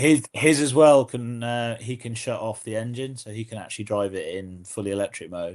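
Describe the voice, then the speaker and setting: With an English accent, a man at medium pitch talks at a moderate pace with ordinary pitch variation, big swings in loudness and hardly any pauses over a quiet background. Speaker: podcast host. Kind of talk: casual chat. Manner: halting, repeats words.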